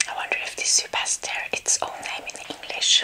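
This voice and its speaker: A soft-spoken woman whispering at a moderate pace, with big swings in loudness and light background noise. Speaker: ASMR creator. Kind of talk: soft-spoken ASMR eating chat. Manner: soft ASMR whisper with a full mouth. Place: home room.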